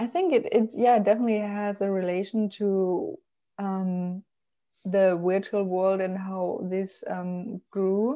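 A woman speaks at a very slow pace with a German accent. The background is quiet. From Germany. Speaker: travel blogger and marketing professional; travel blogger. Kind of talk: interview conversation. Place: home room. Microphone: video call.

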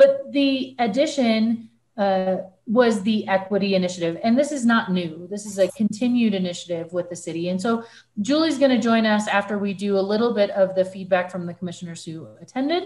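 Somewhat breathy, a woman speaks at a fairly quick pace with ordinary pitch variation. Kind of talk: meeting chairing remarks. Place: home room. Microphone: video call.

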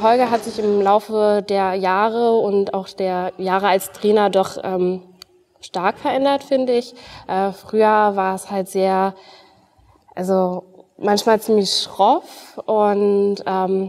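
The pace is very slow. A woman speaks with fairly even intonation. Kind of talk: interview answer. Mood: warm, smiling. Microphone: lapel.

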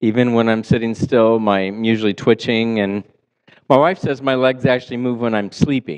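It is a plain, everyday voice with ordinary pitch variation. The pace is moderate and the background quiet. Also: man, medium pitch for a man. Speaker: pastor. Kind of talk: sermon. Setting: church. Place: church.

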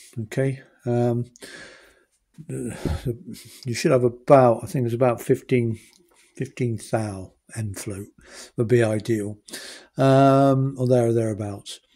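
A man speaks fairly slowly at medium pitch, with fairly even intonation and a dark, mellow tone. He takes long, frequent pauses.

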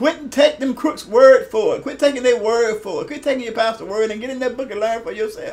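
At a very fast pace with hardly any pauses, a man speaks at an extremely high pitch with ordinary pitch variation. His loudness swings widely. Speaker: retired pastor and online preacher; pastor. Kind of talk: video sermon / teaching talk. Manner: halting, repeats words. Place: office. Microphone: webcam.

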